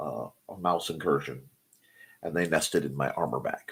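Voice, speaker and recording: A man talks at a fairly slow pace. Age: middle-aged. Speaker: morning show host, author and artist. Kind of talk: casual chat. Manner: halting, self-correcting.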